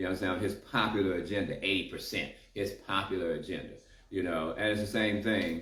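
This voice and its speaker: The speech moves at a fairly quick pace with fairly even intonation and very even loudness. Audible room echo surrounds it. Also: man, fairly low pitch for a man. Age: 60s. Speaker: community activist. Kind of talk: casual chat.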